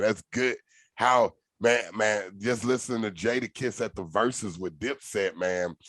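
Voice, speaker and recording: A bright, sharp tone with a Southern accent comes through in a dry, close sound with no echo against a quiet background. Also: man. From Nashville, Tennessee. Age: 30s. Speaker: podcast host. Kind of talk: casual chat.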